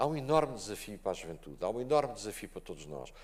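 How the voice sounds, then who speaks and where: Speaking at a very fast pace, a man with a medium pitch makes very wide pitch swings, with vocal fry throughout. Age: 70s. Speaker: conference panelist. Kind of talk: panel discussion. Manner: animated.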